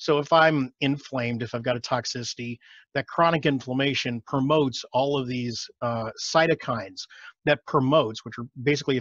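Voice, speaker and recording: With an American accent and ordinary pitch variation, the voice sounds dry, with no echo, against a quiet background. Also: man. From Texas, Austin; Texas. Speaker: functional medicine doctor; guest. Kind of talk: casual interview. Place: home room. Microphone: headset.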